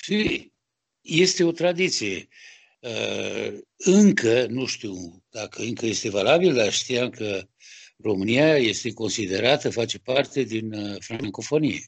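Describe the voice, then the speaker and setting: In a Romanian accent, a man talks very slowly at a medium pitch, with lively intonation and vocal fry. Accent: Romanian accent noted when speaking French. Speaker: sculptor. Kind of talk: interview. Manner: halting.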